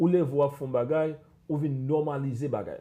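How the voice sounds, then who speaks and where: A man's dark, mellow tone over a quiet background. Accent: Haitian. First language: Haitian Creole. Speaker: psychologist. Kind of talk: panel discussion. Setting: live stream.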